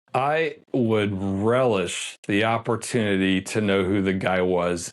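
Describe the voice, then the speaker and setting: Speaking very slowly, a man uses a fairly low pitch. His pitch variation is ordinary. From US East Coast (Washington DC). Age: 60s. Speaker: independent crime investigator. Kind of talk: interview. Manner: hesitant, many fillers.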